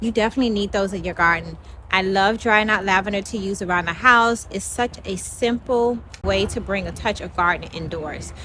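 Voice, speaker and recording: This woman talks at a fairly quick pace over noticeable background noise. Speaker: home gardening channel co-host. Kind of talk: casual gardening tutorial.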